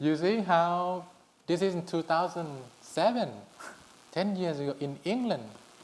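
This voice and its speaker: A man at a high pitch, fairly slow, with lively intonation. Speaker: Buddhist monk and meditation teacher. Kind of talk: public conversation with audience. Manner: halting.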